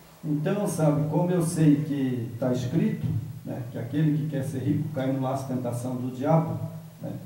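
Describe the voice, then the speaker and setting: In audible room echo with noticeable background noise, a man speaks at a moderate pace and a fairly high pitch. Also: ordinary pitch variation. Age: 70s. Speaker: bible study participant. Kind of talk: bible study discussion.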